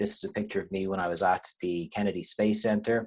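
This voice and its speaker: A man speaks quickly, though not rushed, with an Irish accent. His voice sits fairly low. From Ireland. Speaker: university lecturer. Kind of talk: webinar lecture. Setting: online webinar with screen share.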